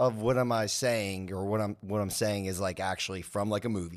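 A man has an ordinary speaking voice, fairly low in pitch with ordinary pitch variation. He keeps a moderate pace in a very clean recording with a silent background. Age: 30s. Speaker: podcast guest, pop culture fan. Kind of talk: casual chat.

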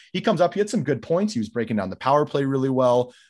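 Against a quiet background, a man with a western Canadian accent speaks with lively intonation. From Canada, Calgary. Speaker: hockey goalie and coach. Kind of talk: casual chat.

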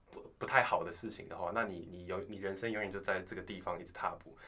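Amid audible room echo, a man talks at a fairly quick pace with fairly even intonation. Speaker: university student. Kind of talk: casual chat.

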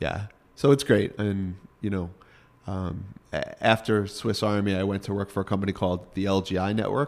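A man talks with a fairly low pitch and fairly even intonation. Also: moderate pace. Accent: Northeastern US. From US Northeast, Rockland County, New York. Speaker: watch company executive. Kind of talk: casual interview. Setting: trade show.

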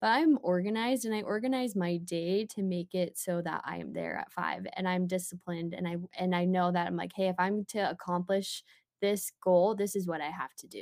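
Using a plain, everyday voice with an American accent, a woman talks at a fairly quick pace with hardly any pauses, her medium pitch varying in an ordinary way. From Utah (Murray). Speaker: fitness competitor and product manager. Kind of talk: casual interview.

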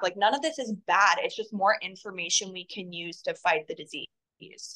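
Bright and sharp in tone, this woman's voice is fairly high. She speaks with an American accent. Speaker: holistic health advocate. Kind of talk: casual chat. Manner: rambling, fast.

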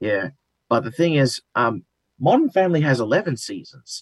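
This man talks fairly quickly. He has an Australian accent. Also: dry, close sound with no echo. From Australia, Wollongong (New South Wales). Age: 20s. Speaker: reality TV participant. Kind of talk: interview.

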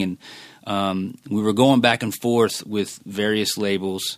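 A man with an American accent speaks in a fairly low pitch with fairly even intonation, in a very clean recording with a silent background. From Philadelphia, US. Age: 40s. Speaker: music industry manager. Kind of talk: casual interview.

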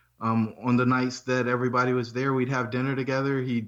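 A man with an American accent talks while noticeable background noise can be heard. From North Carolina, Fayetteville. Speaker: real estate investor and engineer. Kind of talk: interview.

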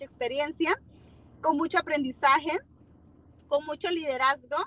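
A high-pitched woman's voice at a moderate pace, with a dry, close sound and no echo. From Honduras, Tegucigalpa. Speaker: small business owner selling supplements. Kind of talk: casual interview with sales pitch.

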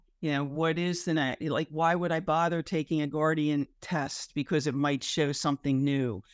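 A woman's very deep, low voice at a moderate pace, with fairly even intonation, very even loudness, hardly any pauses and a dry, close sound with no echo. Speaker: cancer patient. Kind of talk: support group sharing. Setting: video call.

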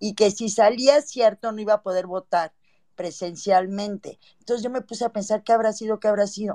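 This woman speaks at a fairly quick pace with a fairly high pitch, fairly even intonation and a dark, mellow tone, in a dry, close sound with no echo. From Mexico (born in Cuba, left around 1960). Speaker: caller. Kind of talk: casual chat.

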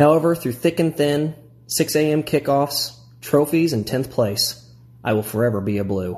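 At a moderate pace, a man speaks with lively intonation in a somewhat breathy voice of fairly high pitch. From US Midwest, Illinois. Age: 30s. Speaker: primary school teacher and fan. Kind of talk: prepared reading of a fan piece.

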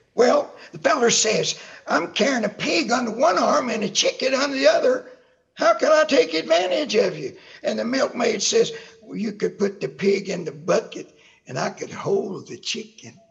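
A man's extremely high-pitched voice with big swings in loudness. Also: moderate pace. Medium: audio drama. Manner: drawling, cantankerous.

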